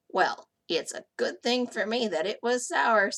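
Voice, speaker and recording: Putting on a character voice, a woman speaks raspy and fairly high at a fairly slow pace. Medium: read story. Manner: polite, gentle.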